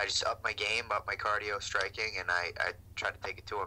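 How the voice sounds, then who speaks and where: In an American accent, a man delivers his words at a fairly quick pace. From United States. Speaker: mixed martial arts fighter. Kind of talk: post-fight interview. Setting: video call. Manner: hesitant, many fillers.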